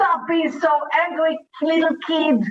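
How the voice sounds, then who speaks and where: Speaking at a fairly slow pace, a woman talks with an Israeli accent. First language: Hebrew. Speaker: talk show host and facilitator. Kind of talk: motivational talk show. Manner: animated.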